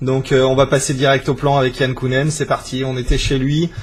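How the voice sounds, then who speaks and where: Somewhat breathy, a man talks at a fairly high pitch and a fairly quick pace. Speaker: YouTuber and vape shop owner. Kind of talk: casual vlog and interview. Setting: at the guest's home.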